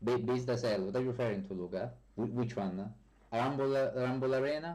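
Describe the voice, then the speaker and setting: A man's medium-pitched, dark and mellow voice with a strong Italian accent, fairly quick pace, ordinary pitch variation and audible room echo. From Italy. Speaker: software developer streamer. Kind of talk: live stream chat. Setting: live stream. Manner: hesitant, many fillers.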